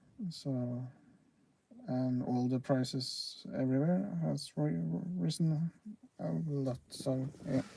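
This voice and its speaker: In a Norwegian accent, the speaker goes at a very slow pace with long, frequent pauses. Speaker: railfan livestreamer. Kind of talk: casual livestream chat. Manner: halting, many fillers.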